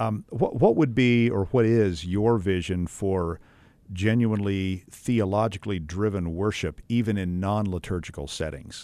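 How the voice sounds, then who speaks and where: With an American accent, a man talks at a moderate pace in a fairly low, dark, mellow voice with ordinary pitch variation against a quiet background. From West Texas. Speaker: podcast host, seminary academic. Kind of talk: interview.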